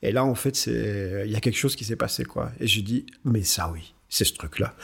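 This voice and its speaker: The recording is very clean with a silent background as a man speaks at a moderate pace with lively intonation and vocal fry. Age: 50s. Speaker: company director. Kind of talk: interview. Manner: halting, repeats words.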